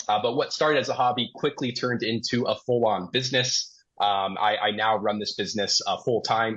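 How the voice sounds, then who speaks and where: At a fairly quick pace, a man with an unremarkable speaking voice holds a medium pitch. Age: 20s. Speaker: investing podcast host. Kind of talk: casual podcast chat. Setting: podcast recording, live.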